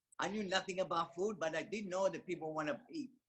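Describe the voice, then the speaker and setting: A man speaks at a very fast pace and a high pitch, his intonation fairly even. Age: 70s. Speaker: network marketing distributor. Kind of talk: testimony. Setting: video call.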